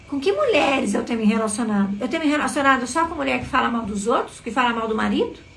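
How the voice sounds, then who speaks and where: Someone talks at a very fast pace with hardly any pauses and ordinary pitch variation. Audible room echo and noticeable background noise are present. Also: woman, high pitch for a woman. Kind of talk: live motivational talk. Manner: soft-spoken; expressive.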